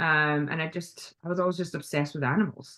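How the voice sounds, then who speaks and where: A woman's fairly low voice with a Scottish accent, fairly even intonation and a moderate pace. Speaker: veterinarian. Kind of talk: casual interview chat. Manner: hesitant, many fillers.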